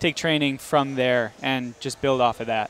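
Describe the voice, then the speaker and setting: At a moderate pace, the flat, monotone delivery comes through dry with no echo and light background noise. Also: man. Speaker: guest. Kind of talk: interview answer. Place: hall. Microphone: headset.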